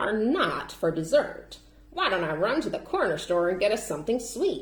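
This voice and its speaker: A woman is doing a put-on character voice pitched fairly high. Her pitch swings very widely. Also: moderate pace. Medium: read story.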